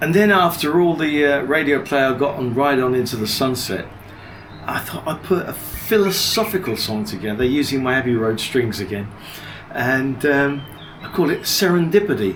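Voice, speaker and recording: Lively in intonation, a man with a fairly high pitch speaks at a moderate pace. Audible room echo and noticeable background noise fill the recording. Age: 70s. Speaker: music producer and DJ. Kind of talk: interview.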